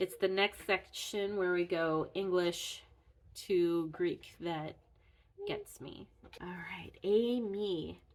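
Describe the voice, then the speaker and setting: Her pitch medium and her intonation fairly even, a woman speaks at a very slow pace. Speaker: Greek language teacher. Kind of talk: tutorial. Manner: halting.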